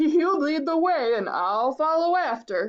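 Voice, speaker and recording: A woman uses a put-on character voice. It sits high in pitch. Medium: read story.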